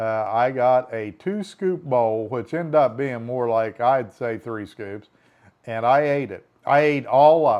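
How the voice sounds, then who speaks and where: At a fairly slow pace, a man speaks in a normal speaking voice, medium in pitch, with ordinary pitch variation. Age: 60s. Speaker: vlogger. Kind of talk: casual video diary. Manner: conversational.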